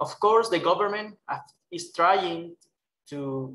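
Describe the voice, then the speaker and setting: A man with a Spanish accent, over light background noise. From Colombia. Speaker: human rights worker. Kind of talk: webinar presentation. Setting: video call. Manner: halting. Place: office. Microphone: headset.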